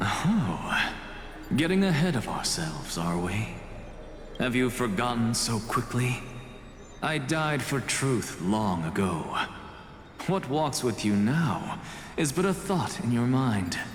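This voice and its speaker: A man puts on a character voice at medium pitch, speaking fairly slowly with long, frequent pauses over clear background noise and a slight echo. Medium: video game. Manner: wry, measured.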